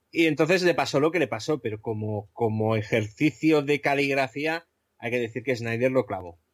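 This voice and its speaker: In a normal speaking voice, a man talks at a moderate pace and medium pitch with ordinary pitch variation, recorded very cleanly with a dry, close sound, no echo and a silent background. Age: 40s. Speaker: podcaster guest. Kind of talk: casual chat.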